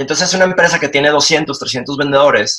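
Using an unremarkable speaking voice, a man talks at a fairly quick pace in a fairly high pitch with ordinary pitch variation. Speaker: leadership and storytelling consultant. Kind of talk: interview.

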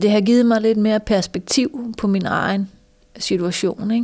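On a very clean recording with a silent background, a woman with a dark, mellow tone speaks at a fairly slow pace and ordinary pitch variation. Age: 50s. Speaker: lawyer with vision loss, course participant. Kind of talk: interview testimony. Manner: halting, many fillers.

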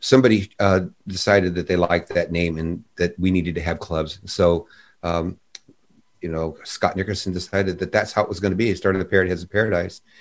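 Someone talks at a very fast pace with fairly even intonation. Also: man, very deep, low pitch for a man. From US West Coast, San Diego, California. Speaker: musician. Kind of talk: casual chat.

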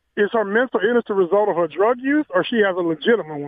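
With an American accent, a man talks at a high pitch with lively intonation. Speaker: caller. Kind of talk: casual chat. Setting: phone call.

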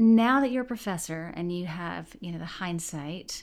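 An unremarkable speaking voice with lively intonation moves at a moderate pace on a very clean recording with a silent background. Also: woman. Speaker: podcast host. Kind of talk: interview.

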